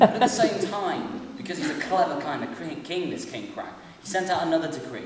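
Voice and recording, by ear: A passage is being read aloud in a natural voice.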